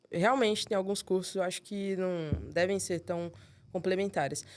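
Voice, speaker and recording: A woman speaks with a Rio de Janeiro accent. Her pace is moderate. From São Paulo. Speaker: accountant, firm co-founder. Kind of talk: interview answer. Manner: casual, relaxed.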